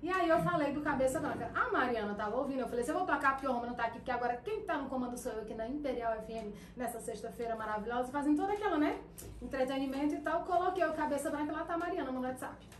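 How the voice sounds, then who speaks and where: A woman's high-pitched, very fast speech amid audible room echo and noticeable background noise. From interior of Pará, Brazil. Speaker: radio presenter and lawyer. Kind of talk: casual chat.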